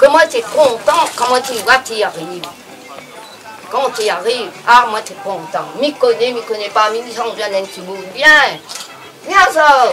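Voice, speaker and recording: A woman speaks very slowly at a fairly high pitch, with lively intonation, big swings in loudness, and long, frequent pauses. Background noise is noticeable. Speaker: elderly villager. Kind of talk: personal reminiscence.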